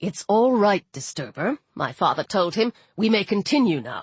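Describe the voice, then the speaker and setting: A female-sounding put-on character voice at a medium pitch and moderate pace. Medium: read story.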